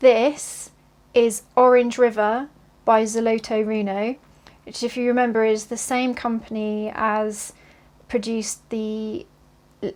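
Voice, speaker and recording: Speaking at a very slow pace, a woman with a British accent uses a fairly high pitch and a monotone, flat intonation. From southeast England, near London. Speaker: cross-stitch vlogger. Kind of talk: casual vlog. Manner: hesitant, with many fillers.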